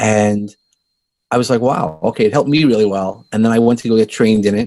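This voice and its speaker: With a dark, mellow tone and a medium pitch, a man talks at a very fast pace, keeping his loudness very even and his pitch variation ordinary. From US Northeast, Brooklyn, New York. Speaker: life coach and podcaster. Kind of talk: interview. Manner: halting, with repeated words.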